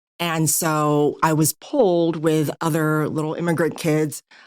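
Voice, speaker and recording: A woman's very deep, low voice, monotone and flat, at a fairly slow pace. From Taiwan, raised in California from age six. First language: Mandarin Chinese. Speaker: novelist. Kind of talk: interview. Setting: podcast interview.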